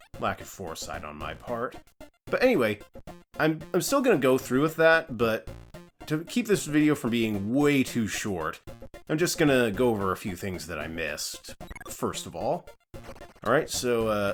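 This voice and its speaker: A man's medium-pitched voice with very wide pitch swings, a moderate pace and long, frequent pauses, with music in the background. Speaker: let's play commentator. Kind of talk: casual gameplay commentary.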